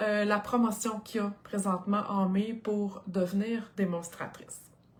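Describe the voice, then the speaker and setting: With a Quebec accent, a woman speaks in a fairly high, animated voice at a moderate pace with hardly any pauses, against noticeable background noise. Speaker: craft product demonstrator. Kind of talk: live stream product presentation. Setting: live video stream.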